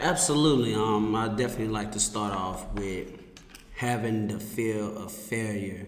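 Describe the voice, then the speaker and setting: The intonation stays fairly even. Noticeable background noise and audible room echo run through the clip. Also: man. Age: 30s. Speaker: podcast guest. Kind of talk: casual interview. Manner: halting.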